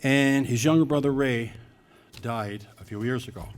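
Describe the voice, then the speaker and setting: Audible room echo accompanies speech at a moderate pace. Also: man. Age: 70s. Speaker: hall of fame committee presenter. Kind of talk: award ceremony speech. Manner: halting.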